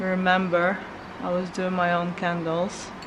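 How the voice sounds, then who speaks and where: A woman speaks quietly, with audible room echo. Noticeable background noise is present. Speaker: lifestyle vlogger. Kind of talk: casual vlog talk. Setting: at home. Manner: halting.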